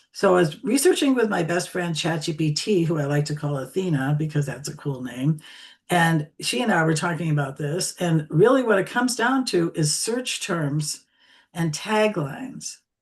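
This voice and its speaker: Somewhat breathy and fairly low in pitch, a woman talks at a moderate pace with lively intonation. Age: 70s. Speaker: LinkedIn coach. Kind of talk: interview on live stream. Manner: animated.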